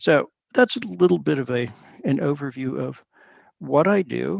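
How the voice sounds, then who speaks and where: A man with an American accent talks at a very slow pace, the sound dry and close with no echo. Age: 70s. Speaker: professor. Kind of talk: interview. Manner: halting.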